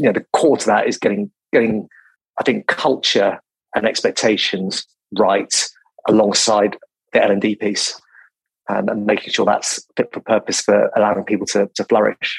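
A British accent at a moderate pace with long, frequent pauses, in a dry, close sound with no echo. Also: man. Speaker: recruitment company CEO. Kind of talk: interview. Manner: calm, considered.

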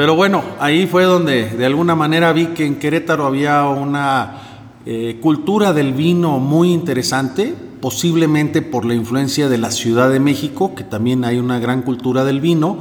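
A man at a moderate pace, ordinary pitch variation, audible room echo and noticeable background noise. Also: fairly high pitch for a man. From northern Mexico (Monclova, Coahuila). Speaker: winemaker. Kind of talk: interview.

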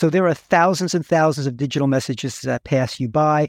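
An ordinary speaking voice with an American accent and ordinary pitch variation, dry and close with no echo, on a very clean recording with a silent background. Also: man. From New York. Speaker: direct mail agency executive. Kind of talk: interview.

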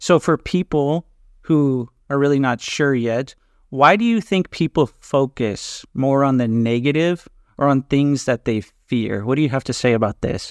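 This man has an ordinary speaking voice at a fairly high pitch. The background is quiet and the sound dry and close with no echo. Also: ordinary pitch variation, moderate pace. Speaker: podcast host and NLP trainer. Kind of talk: podcast interview.

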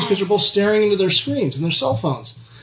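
A man talks loudly at a very fast pace. His pitch is high and his intonation lively. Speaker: podcast host, performance coach; radio show guest.

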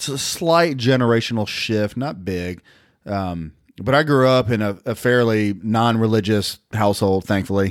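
Over a very clean recording with a silent background, a man speaks in a Southern US accent at fairly low pitch. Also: ordinary pitch variation, moderate pace. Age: 50s. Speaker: regular co-host. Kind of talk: casual chat.

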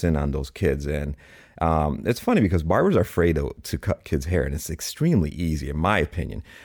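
A man's very deep, low voice with vocal fry, fairly quick pace and ordinary pitch variation on a very clean recording with a silent background. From Chicago, US. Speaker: barber and realtor. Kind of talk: podcast interview. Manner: halting, many fillers.

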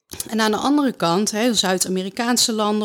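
A woman's fairly high pitch, an ordinary speaking voice, ordinary pitch variation and a moderate pace. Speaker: speech therapist and author. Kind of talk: interview.

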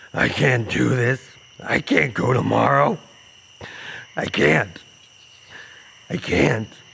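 Using a fairly low pitch with very wide pitch swings, a man speaks at a very slow pace. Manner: despairing, pleading.

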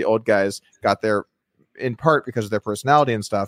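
This very clean recording has a silent background and a dry, close sound with no echo, carrying a man's medium-pitched voice with ordinary pitch variation. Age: 30s. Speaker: poker podcast host. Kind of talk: casual interview chat.

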